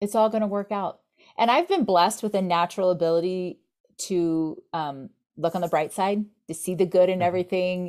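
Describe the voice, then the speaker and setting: On a very clean recording with a silent background, a woman with an American accent speaks at a fairly quick pace. She has a plain, everyday voice, a medium pitch and ordinary pitch variation. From Florida. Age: 50s. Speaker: software company co-founder. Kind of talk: interview.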